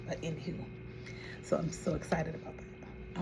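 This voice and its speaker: Fairly quick speech from a woman, with audible room echo and noticeable background noise. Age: 60s. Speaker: vlogger. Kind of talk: casual chat.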